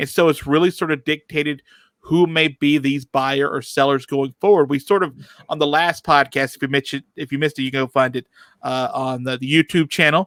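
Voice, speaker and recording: The speech moves at a fairly quick pace with fairly even intonation, in a dry, close sound with no echo on a very clean recording with a silent background. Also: man, fairly high pitch for a man. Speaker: podcast host. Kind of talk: casual chat. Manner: hesitant, many fillers.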